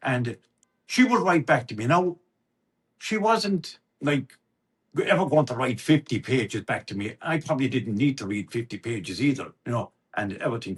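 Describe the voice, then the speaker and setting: This man has a Limerick accent and a medium pitch with very wide pitch swings, sounding somewhat breathy. He keeps a moderate pace, broken by long, frequent pauses. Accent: Irish, East Limerick. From Ireland. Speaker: storyteller. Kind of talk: interview answer, personal storytelling. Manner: chatty, conversational.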